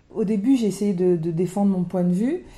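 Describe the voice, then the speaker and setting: Her medium-pitched voice is somewhat breathy, with a dark, mellow tone. This woman speaks at a moderate pace with ordinary pitch variation. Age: 40s. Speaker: single mother by choice, wealth management adviser. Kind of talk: personal testimony interview.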